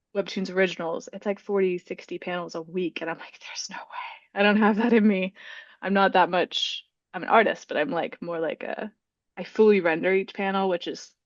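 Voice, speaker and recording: A soft-spoken woman talks at a medium pitch and a fairly quick pace, her intonation fairly even but her loudness swinging widely. The sound is dry and close, with no echo. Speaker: author and webtoon creator. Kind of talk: casual interview chat. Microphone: audio sometimes drops out when quiet.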